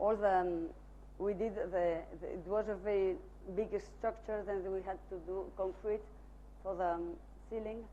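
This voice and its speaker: A woman speaks at a moderate pace with long, frequent pauses, her voice carrying audible room echo. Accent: Spanish. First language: Spanish. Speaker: architect presenting own work. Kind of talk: lecture. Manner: halting, many fillers.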